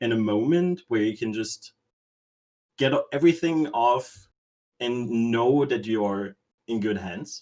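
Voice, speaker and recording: A man talks with a non-native accent. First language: not English. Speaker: stream moderator. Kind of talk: casual chat.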